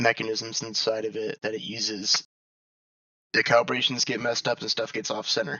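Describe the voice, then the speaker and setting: Keeping his intonation fairly even, a man talks at a medium pitch and a fairly quick pace. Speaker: gamer. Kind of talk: casual gaming tutorial. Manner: casual, hesitant.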